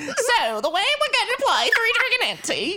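A put-on character voice at an extremely high pitch, moderate pace and clear background noise. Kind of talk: game-rules explanation spoken in character.

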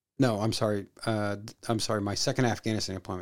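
A man's fairly low voice with an American accent. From Missouri, US Midwest. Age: 40s. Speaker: podcast co-host, military veteran. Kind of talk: casual chat.

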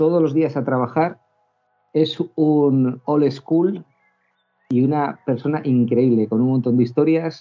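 A man with a fairly high pitch speaks with fairly even intonation and very even loudness. He takes long, frequent pauses. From Basque Country (Bilbao), raised in Cantabria. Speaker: motorcycle club organiser. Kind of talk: casual chat. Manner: fast, rapid-fire talker; laughs often.

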